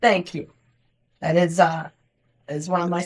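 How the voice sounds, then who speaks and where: Using a put-on character voice, a woman speaks at a moderate pace in a raspy, fairly low pitch with fairly even intonation. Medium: actual play. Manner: flustered, hesitant.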